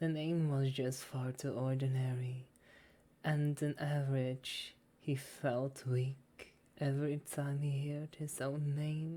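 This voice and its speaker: A soft-spoken woman talks in a very deep, low voice with a dark, mellow tone. Her delivery is very slow and flat, almost monotone. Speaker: ASMR reader / VTuber. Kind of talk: soft story reading for sleep. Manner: soft-spoken, relaxing.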